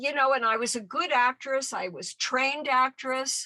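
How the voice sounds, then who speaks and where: Raised and projected, a woman's high-pitched voice comes across with a bright, sharp tone and a dry, close sound without echo. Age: 70s. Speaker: activist and former actress. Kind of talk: interview.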